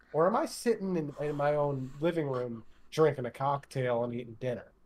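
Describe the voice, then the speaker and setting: This is a man speaking. He has an American accent. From United States. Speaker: podcast co-host. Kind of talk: casual chat.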